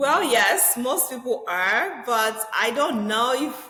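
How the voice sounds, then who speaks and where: In a Nigerian accent, a woman with a high pitch speaks in a raised, projected voice at a very slow pace, with audible room echo and noticeable background noise. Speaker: real estate agent. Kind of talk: podcast interview.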